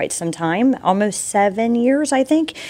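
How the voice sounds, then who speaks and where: A woman with an American accent speaks at a fairly slow pace. Her intonation is lively, and music plays in the background. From South Texas. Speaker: real estate agent. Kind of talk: interview. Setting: studio.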